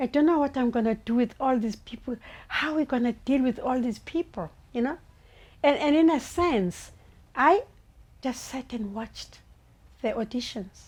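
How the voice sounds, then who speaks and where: A woman with a South African accent speaks at a high pitch and moderate pace. Her pitch variation is ordinary, with long, frequent pauses. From Langa, Cape Town, South Africa. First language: Xhosa. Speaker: playwright. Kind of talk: interview answer.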